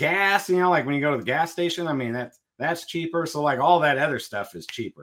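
With an American accent, a man talks at a fairly quick pace and a fairly high pitch. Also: ordinary pitch variation. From Southern California. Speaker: reptile breeder. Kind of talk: casual interview.

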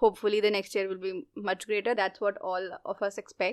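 A woman speaks with an Indian accent at a medium pitch. Her pace is fairly quick. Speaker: podcast co-host. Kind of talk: casual chat.

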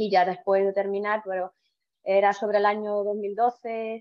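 A woman is speaking. Her pace is fairly slow. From Estonia. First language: Estonian (speaking Spanish). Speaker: physiotherapist. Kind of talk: interview. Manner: halting.

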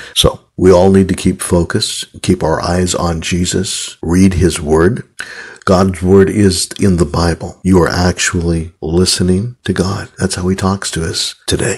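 Speaking at a fairly slow pace, a man uses a very deep, low pitch and a flat, monotone intonation. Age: 60s. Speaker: podcast host. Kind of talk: personal religious monologue. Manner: halting.

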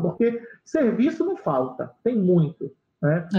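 This man speaks with a high pitch. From Brazil, Belém do Pará. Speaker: accountant and business consultant. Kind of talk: interview.

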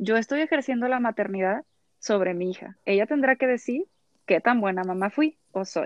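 Lively intonation marks an unremarkable speaking voice that keeps a moderate tempo. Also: woman, fairly high pitch for a woman. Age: 30s. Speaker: psychologist. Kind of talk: expert interview.

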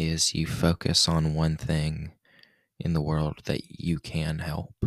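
A man's very deep, low voice at a very slow pace, dry and close with no echo. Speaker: podcast host and amateur poet. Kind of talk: spoken word poem read aloud, earnest and confessional, then casual chat. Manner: earnest, repetitive, emotive poetic cadence; casual, conversational, sincere.

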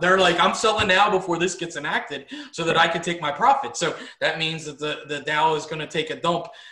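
Against noticeable background noise, a man talks at a very fast pace in a high pitch. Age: 40s. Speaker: business owner and co-host. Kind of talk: casual chat.

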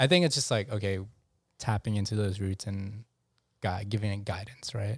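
With long, frequent pauses, a man speaks in a fairly low, somewhat breathy voice, in a very clean recording with a silent background. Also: fairly even intonation, moderate pace. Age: 30s. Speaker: podcast host. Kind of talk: casual chat.

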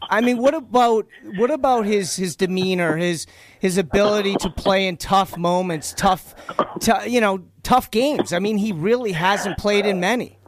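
This man has an American accent and a high pitch. He talks at a moderate pace with ordinary pitch variation. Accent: faint Boston accent, mostly hidden. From Boston area. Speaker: fill-in sports radio host. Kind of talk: sports talk radio.

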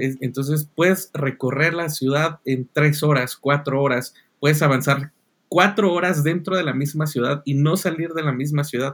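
Fairly high male voice in a Mexican accent, at a fairly slow pace with fairly even intonation. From Mexico. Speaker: podcast host. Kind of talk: casual chat. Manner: hesitant, many fillers.

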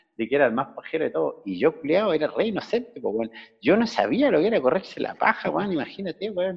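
A man with a Chilean accent speaks at a fairly quick pace, his pitch swinging very widely, with vocal fry. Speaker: former classmate living abroad. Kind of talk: casual chat.

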